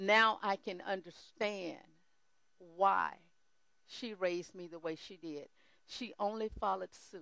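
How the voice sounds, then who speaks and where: A woman's bright, sharp voice at medium pitch, fairly slow and fairly even in intonation, with long, frequent pauses and big swings in loudness. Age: 60s. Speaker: church counselor sharing testimony. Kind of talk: testimony.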